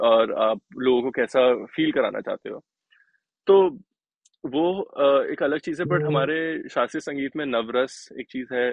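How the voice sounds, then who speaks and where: A man speaks at a fairly high pitch with ordinary pitch variation, leaving long, frequent pauses. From Delhi, India. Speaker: sitar player and music producer. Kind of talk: interview. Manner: halting, many fillers.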